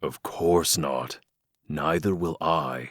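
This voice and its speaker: A man's growling, put-on character voice at a very deep, low pitch. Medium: audio drama. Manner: calm, gentle.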